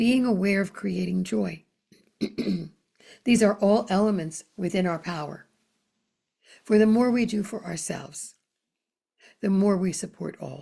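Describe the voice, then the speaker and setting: Calm and somewhat breathy, a woman speaks at a fairly slow pace in a medium pitch with long, frequent pauses. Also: ordinary pitch variation. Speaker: spiritual channeler. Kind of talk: spiritual newsletter message. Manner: slow, calm.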